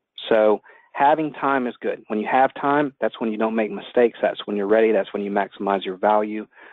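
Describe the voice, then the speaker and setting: With a Southern US accent, a man talks at a fairly quick pace and medium pitch with ordinary pitch variation. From US South, Atlanta. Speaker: attorney. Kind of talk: webinar presentation. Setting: phone call.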